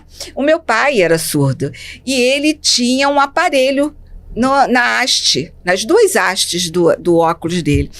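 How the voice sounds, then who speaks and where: At a fairly slow pace, a woman speaks with a high pitch and very wide pitch swings. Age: 60s. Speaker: speech therapist and educator. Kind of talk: interview storytelling. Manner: halting.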